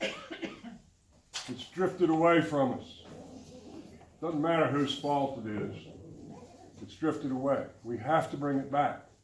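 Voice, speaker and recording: Speaking at a very slow pace with long, frequent pauses, a man with a fairly high pitch and ordinary pitch variation swings widely in loudness, with audible room echo and noticeable background noise. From Tennessee. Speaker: political candidate. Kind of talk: campaign speech.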